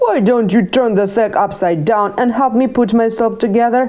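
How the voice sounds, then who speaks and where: A woman puts on a character voice, cackling at a moderate pace. Her pitch sits fairly high. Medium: read story.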